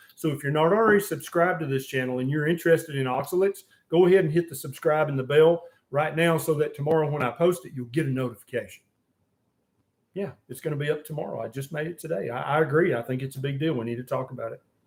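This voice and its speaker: Talking at a very fast pace, a man with an American accent has a fairly high pitch, ordinary pitch variation, a somewhat breathy quality and big swings in loudness. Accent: Southern US accent, noted by others. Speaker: physician and diet channel host. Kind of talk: live-stream Q&A. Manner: casual.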